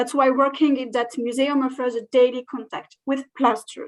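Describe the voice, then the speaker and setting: With a French accent, a woman speaks at a high pitch. She keeps a fairly slow pace. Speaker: museum curator. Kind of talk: conference presentation. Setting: online video call. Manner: halting.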